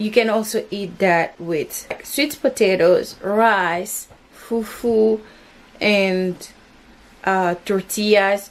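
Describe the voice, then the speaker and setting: Very slowly, a woman speaks at medium pitch with ordinary pitch variation. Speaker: home cooking vlogger. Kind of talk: cooking tutorial. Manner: casual, conversational.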